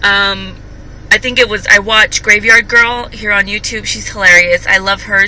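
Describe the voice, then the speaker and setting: Over noticeable background noise, a woman speaks in a medium pitch with monotone, flat intonation at a fairly slow pace. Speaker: vlogger. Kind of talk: casual vlog monologue. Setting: in a car. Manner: halting.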